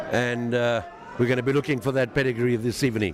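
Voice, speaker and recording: This man talks with noticeable background noise behind him. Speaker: boxing promoter and co-commentator. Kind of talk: live commentary. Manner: halting.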